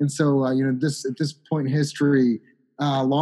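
This man has a plain, everyday voice with an American accent. He talks at a fairly quick pace and a fairly high pitch. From Chicago. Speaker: author. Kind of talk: casual interview.

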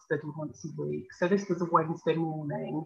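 Woman at a fairly quick pace with a very deep, low pitch. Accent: Birmingham. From Birmingham, England. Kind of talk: interview.

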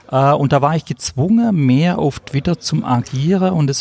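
The pitch rises and falls in an ordinary way. Noticeable noise is present in the background. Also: man. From southern Germany, Stuttgart area. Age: 50s. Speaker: vocational trainer. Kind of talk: interview. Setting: cafeteria at a conference.

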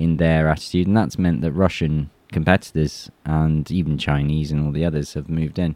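A man with an English accent, dark and mellow in tone, at a moderate pace. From England. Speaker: YouTuber and former soldier. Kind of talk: interview conversation. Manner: halting, many fillers and restarts.

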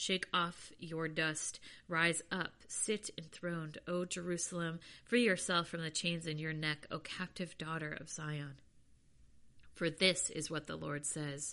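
Over a quiet background, a woman with a fairly low, bright, sharp voice speaks in a solemn tone at a fairly slow pace, her intonation fairly even. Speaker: podcast host reading scripture. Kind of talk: scripture reading, read aloud chapter by chapter. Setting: home or personal studio recording. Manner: steady, solemn, measured reading, sincere and prayerful.

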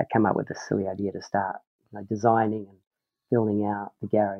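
A man speaks with a New Zealand accent. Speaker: professional snowboarder. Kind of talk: casual interview chat. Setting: remote recording with poor mic.

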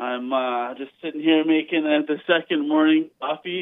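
At a moderate pace, a man speaks in an unremarkable speaking voice with a fairly high pitch. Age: 30s. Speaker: caller. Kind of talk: phone-in call. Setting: phone call. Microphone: muffled and quiet at one point.

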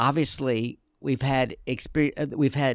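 A man with an American accent speaks in an ordinary speaking voice at medium pitch. His pitch varies an ordinary amount, and the sound is dry and close with no echo. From Charlotte, North Carolina. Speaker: nonprofit community education director. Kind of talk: casual interview.

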